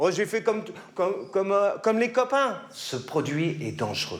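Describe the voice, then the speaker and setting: Pitched high, a man delivers his words with lively intonation. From Paris, 18th arrondissement. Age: 40s. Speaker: former drug addict giving testimony. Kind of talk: testimony. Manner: hesitant, many fillers and repetitions.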